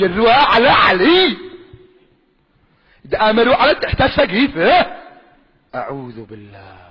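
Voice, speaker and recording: With a Yemeni accent, a man speaks at an extremely high pitch and a very slow pace, his pitch swinging very widely between long, frequent pauses. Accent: Sanaani Yemeni Arabic. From Yemen, Sanaa. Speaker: preacher. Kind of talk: religious sermon.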